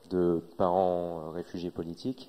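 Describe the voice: With a dark, mellow tone, a man speaks at a low pitch and moderate pace with little pitch movement.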